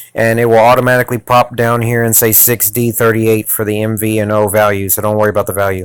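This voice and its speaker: On a very clean recording with a silent background, a man at medium pitch speaks in a monotone with flat intonation. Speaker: YouTuber making phone tech tutorials. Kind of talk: tutorial. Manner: fast; casual, halting.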